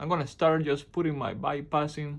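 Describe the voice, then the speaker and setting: A man's fairly high-pitched voice with a Spanish accent. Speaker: appliance repair technician. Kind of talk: tutorial. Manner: halting.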